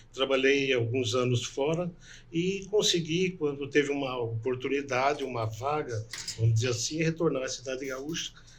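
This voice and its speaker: A man speaks at medium pitch with ordinary pitch variation. His voice is somewhat breathy. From northwest Paraná, Brazil. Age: 60s. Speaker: doctor and political candidate. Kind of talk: interview.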